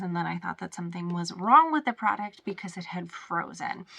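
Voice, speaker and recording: A woman's medium-pitched voice at a fairly quick pace, with ordinary pitch variation and noticeable background noise. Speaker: cloth diaper product reviewer. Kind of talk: casual talk to camera.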